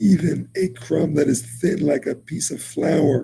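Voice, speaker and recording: With an American accent and vocal fry, a man speaks at a very slow pace and fairly high pitch, with ordinary pitch variation. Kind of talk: lecture.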